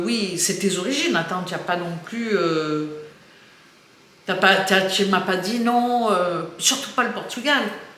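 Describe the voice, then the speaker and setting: Against noticeable background noise and audible room echo, a woman at medium pitch speaks at a very slow pace. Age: 60s. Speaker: YouTuber. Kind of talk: casual chat. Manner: halting.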